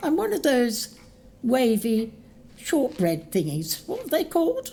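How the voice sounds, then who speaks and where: Fairly slow and full of very wide pitch swings. The voice is a put-on character voice. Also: female-sounding voice, high pitch for a woman. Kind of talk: audio drama.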